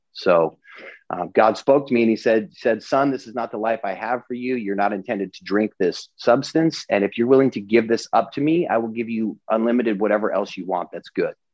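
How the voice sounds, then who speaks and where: The speaker has a normal speaking voice with ordinary pitch variation. The delivery moves at a fairly quick pace. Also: man, medium pitch for a man. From US Pacific Northwest (Eastern Washington). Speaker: entrepreneur and business coach. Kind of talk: interview. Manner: casual with many fillers.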